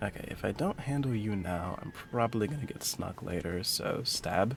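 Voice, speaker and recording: A man with an American accent, fairly low in pitch with ordinary pitch variation, at a moderate pace amid noticeable background noise. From US Midwest, Detroit, Michigan. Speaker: streamer, counseling student. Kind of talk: live gameplay stream chat. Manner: careful, precise diction.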